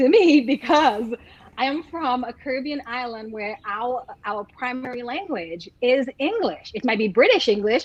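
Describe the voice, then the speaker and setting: A woman with an American accent speaks at a fairly slow pace in a high pitch, her intonation lively. Noticeable background noise sits behind her. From St. Lucia. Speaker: lawyer. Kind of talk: casual interview chat.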